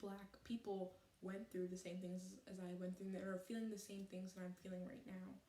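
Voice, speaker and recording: The voice is a woman's, dark and mellow in tone. It comes across somewhat breathy. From Canada. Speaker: vlogger. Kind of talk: personal vlog monologue. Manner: halting, stuttering; earnest, unscripted.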